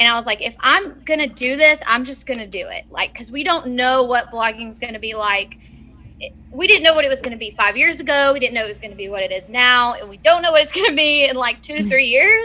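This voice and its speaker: Speaking very fast in a raised, projected voice, a woman with a Tennessee accent has a high pitch, a bright, sharp tone, lively intonation and big swings in loudness. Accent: Southern US, Tennessee. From Nashville, Tennessee. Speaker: blogger and social media marketer. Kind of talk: casual chat.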